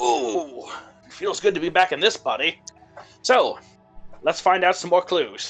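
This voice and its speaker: A put-on character voice at a middle pitch and moderate pace, with long, frequent pauses and faint music in the background. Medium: actual play. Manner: showy, playful.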